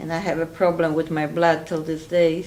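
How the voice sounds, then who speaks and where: A woman talks at a moderate pace with a Polish accent. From Poland. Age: 60s. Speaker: interviewee, Holocaust survivor. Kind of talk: oral history interview.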